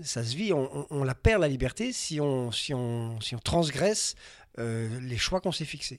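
A man with a medium pitch and lively intonation at a fairly slow pace, on a very clean recording with a silent background. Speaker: travel writer and adventurer. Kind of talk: interview. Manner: halting.

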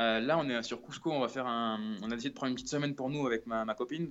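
A man is speaking here. His pace is very fast. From Brittany, France. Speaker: traveller, former cook. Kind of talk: remote interview. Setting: phone call from an apartment hallway. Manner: halting, many repetitions.

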